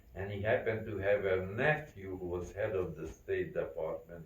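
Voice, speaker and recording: A man with a Central European accent and a very deep, low pitch speaks somewhat breathily at a moderate pace with ordinary pitch variation, with audible room echo around him. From Carpathian region, Czechoslovakia. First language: not English. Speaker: Holocaust survivor. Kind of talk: testimony.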